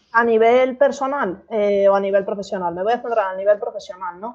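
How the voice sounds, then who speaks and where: A woman with a plain, everyday voice and a fairly high pitch talks at a fairly quick pace with hardly any pauses. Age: 30s. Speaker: marketing consultant. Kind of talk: interview conversation.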